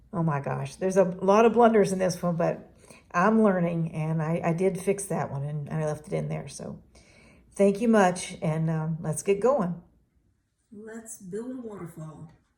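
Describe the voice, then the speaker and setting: A woman speaks at a moderate pace in a fairly low pitch with a dark, mellow tone. Her voice is somewhat breathy, and its loudness swings widely. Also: ordinary pitch variation. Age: 60s. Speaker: craft tutorial youtuber. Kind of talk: tutorial. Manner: casual, chatty.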